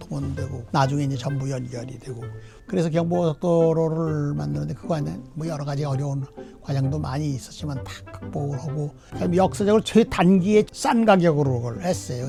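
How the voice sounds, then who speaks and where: Music plays in the background. The speech moves at a fairly quick pace with lively intonation. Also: man. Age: 80s+. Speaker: former government minister. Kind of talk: interview answer.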